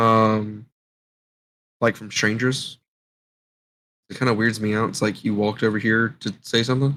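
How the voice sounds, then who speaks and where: An American-accented man speaks at a moderate pace and medium pitch in a bright, sharp tone, with fairly even intonation and long, frequent pauses. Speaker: podcast co-host. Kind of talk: casual chat.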